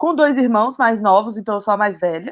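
A woman's voice at a medium pitch. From Brazil, Minas Gerais (Belo Horizonte). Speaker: marketing professional at a startup. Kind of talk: casual interview.

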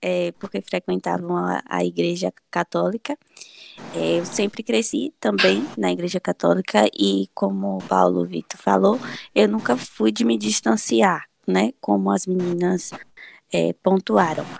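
The sound is dry and close with no echo as a woman speaks at a fairly slow pace. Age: 20s. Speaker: podcast co-host, friend. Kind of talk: casual conversation about faith. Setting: remote recording.

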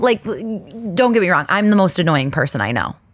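A woman speaks in an animated tone with very wide pitch swings. The recording is very clean, with a silent background. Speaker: podcast host. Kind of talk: casual solo monologue. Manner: fast.

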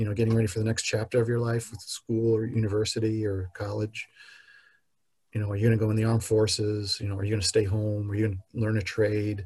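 Speaking at a very fast pace, a man with an American accent has a fairly low pitch and a dark, mellow tone. His voice is somewhat breathy and his intonation monotone and flat. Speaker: podcast guest sharing life story. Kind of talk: personal testimony.

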